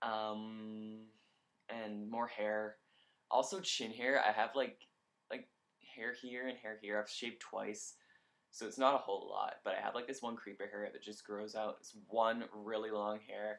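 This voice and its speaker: A man with a medium pitch speaks at a fairly slow pace in a monotone, flat intonation. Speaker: vlogger documenting gender transition. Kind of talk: casual video diary. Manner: frequent filler words, says um a lot.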